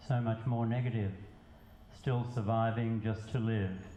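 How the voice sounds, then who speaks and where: At a fairly slow pace, a man speaks at medium pitch with a dark, mellow, somewhat breathy tone. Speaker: poet. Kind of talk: poetry reading.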